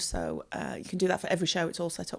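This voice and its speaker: A woman with a West Midlands accent and a fairly low pitch, on a very clean recording with a silent background. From West Midlands, near Wolverhampton. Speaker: theatre bar and catering staff. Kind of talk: casual chat.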